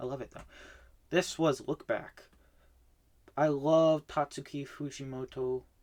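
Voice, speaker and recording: A man talks at a fairly slow pace in a monotone, flat intonation, with long, frequent pauses and big swings in loudness. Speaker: manga reading vlogger. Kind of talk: casual monologue review. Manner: filler-heavy, with false starts.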